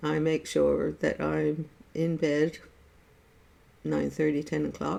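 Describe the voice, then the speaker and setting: There are long, frequent pauses as a woman with an American accent speaks at a very slow pace. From USA. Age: 70s. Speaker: artist sharing life stories. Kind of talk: casual chat. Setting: Facebook live stream.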